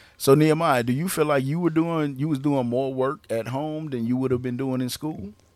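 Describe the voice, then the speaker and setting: In a normal speaking voice, a man talks at a fairly quick pace with a fairly high pitch and fairly even intonation. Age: 40s. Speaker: podcast co-host, father. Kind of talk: casual family chat.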